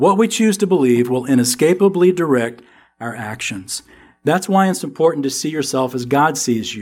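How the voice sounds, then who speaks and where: With music in the background, a man in a slight Southern US accent talks at a moderate pace, his fairly high pitch swinging very widely. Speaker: Bible teacher. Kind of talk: sermon. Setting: church. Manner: animated.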